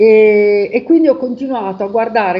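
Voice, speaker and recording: A woman with ordinary pitch variation. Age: 50s. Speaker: testimonial giver. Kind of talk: testimony. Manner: halting. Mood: calm, reflective. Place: home room. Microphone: video call.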